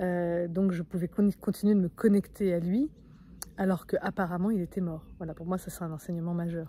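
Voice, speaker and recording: Speaking at a fairly quick pace, a woman has a fairly low pitch, a dark, mellow tone and a somewhat breathy quality. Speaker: spiritual coach. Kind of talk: vlog monologue. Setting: outdoors in nature. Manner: fast; energetic.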